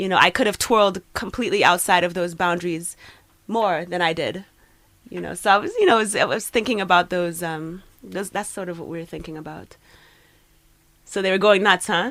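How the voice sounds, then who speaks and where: A woman with a Trinidadian accent talks at a fairly quick pace with long, frequent pauses, her medium pitch in fairly even intonation. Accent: Trinidadian Caribbean lilt. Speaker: poet. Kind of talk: casual interview chat.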